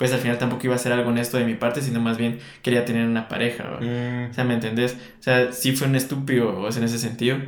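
The delivery moves at a fairly quick pace. Intonation stays monotone and flat. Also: man. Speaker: podcast co-host. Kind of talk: casual chat.

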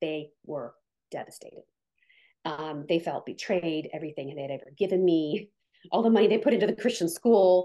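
Lively in intonation, a woman with a Midwestern American accent speaks at a fairly low pitch in a dark, mellow tone. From US Midwest, Canton, Ohio. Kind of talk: testimony.

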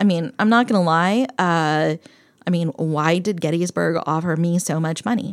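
With an American accent, a woman has an unremarkable speaking voice, a fairly low pitch, ordinary pitch variation and a moderate pace. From eastern Pennsylvania (Bethlehem). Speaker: political science professor. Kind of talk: casual interview conversation.

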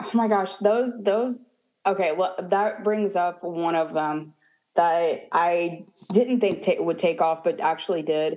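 At a fairly slow pace, a woman speaks in a dark, mellow tone at medium pitch with ordinary pitch variation. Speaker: theme park content creator. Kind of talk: casual interview.

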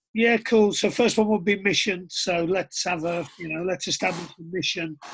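In a Teesside accent, a man speaks with a high pitch and fairly even intonation. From northern England, Middlesbrough. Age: 40s. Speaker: rugby coach and coach developer. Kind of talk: casual chat.

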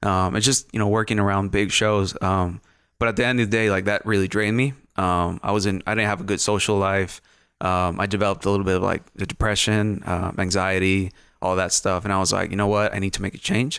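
Very fast speech in a Mexican accent, with fairly even intonation and very even loudness. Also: man, fairly low pitch for a man, very clean recording, silent background. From northern Mexico. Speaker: photographer and videographer. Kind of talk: casual chat.

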